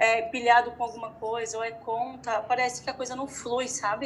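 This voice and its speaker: A woman's high pitch. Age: 30s. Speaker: entrepreneur. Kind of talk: interview.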